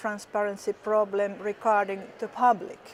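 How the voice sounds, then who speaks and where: Speaking with a Finnish accent, the voice keeps a fairly slow pace. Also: woman. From Finland. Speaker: politician. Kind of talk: interview. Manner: halting, many fillers.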